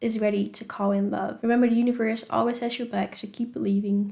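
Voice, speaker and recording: A woman with a Dutch accent speaks at a fairly high pitch in a dark, mellow tone, her intonation fairly even. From Netherlands. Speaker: spirituality vlogger. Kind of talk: casual advice vlog. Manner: conversational, with fillers.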